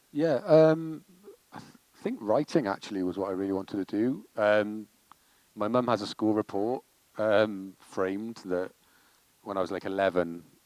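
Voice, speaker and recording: A man with a Welsh accent talks at a moderate pace in a fairly low voice with ordinary pitch variation. He leaves long, frequent pauses. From Wales. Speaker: comedy director and writer. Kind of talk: interview Q&A.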